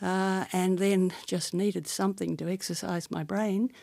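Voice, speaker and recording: An Australian woman talks at a moderate pace with a dark, mellow tone. Her pitch sits in the medium range, and her intonation stays fairly even. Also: very clean recording, silent background. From Australia, Sydney. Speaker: barrister. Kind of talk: oral history interview.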